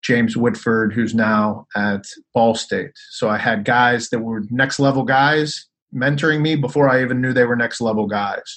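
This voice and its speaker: With an American accent, a man talks at a moderate pace in an unremarkable speaking voice, his medium pitch showing ordinary variation. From Pittsburgh, Pennsylvania. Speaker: basketball coach and sports executive. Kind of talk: casual interview.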